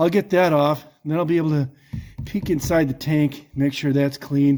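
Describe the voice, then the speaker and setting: A man mumbles in a dark, mellow tone. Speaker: hobby mechanic restoring a jeep. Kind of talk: casual talk to camera while working. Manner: mumbling, talking to himself.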